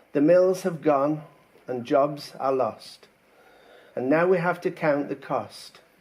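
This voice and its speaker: Very slow speech comes from a man. His fairly high pitch shows ordinary pitch variation. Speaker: poet. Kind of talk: poetry reading.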